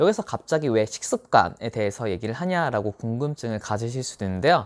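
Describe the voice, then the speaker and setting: A man speaks at a moderate pace with a medium pitch. The recording is very clean, with a silent background and a dry, close sound free of echo. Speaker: tax accountant giving exam advice. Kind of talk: monologue tutorial. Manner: speeds up toward the end.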